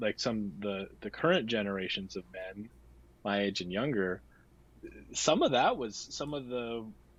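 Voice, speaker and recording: Using an American accent and a fairly low pitch, a man speaks at a moderate pace with long, frequent pauses. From US Midwest, North Dakota. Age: 40s. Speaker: men's coach and meditation teacher. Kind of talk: podcast interview. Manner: halting, many fillers.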